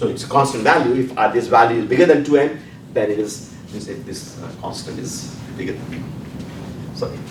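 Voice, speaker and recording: Audible room echo and noticeable background noise surround a man's medium-pitched voice. He speaks at a fairly quick pace with ordinary pitch variation and big swings in loudness. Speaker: physics professor. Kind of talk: lecture. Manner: halting, with fillers and repetitions; fast.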